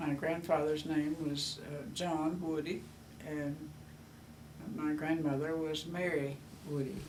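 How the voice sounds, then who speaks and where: A woman with a Southern US accent speaks at a very slow pace with long, frequent pauses, her pitch very deep and low and her intonation monotone and flat. Audible room echo and noticeable background noise fill the recording. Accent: Southern US (Georgia). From US South, Georgia. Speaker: grandmother. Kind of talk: oral history interview. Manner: halting, many fillers.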